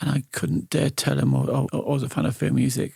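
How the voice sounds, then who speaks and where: This man speaks at a fairly quick pace with vocal fry and very wide pitch swings. The recording is very clean, with a silent background. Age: 50s. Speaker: radio host. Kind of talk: interview. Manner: halting, repeats words.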